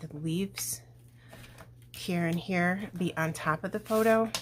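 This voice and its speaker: A woman whispering, somewhat breathy. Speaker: scrapbooking crafter. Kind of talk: crafting tutorial. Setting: at home. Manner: casual, thinking aloud.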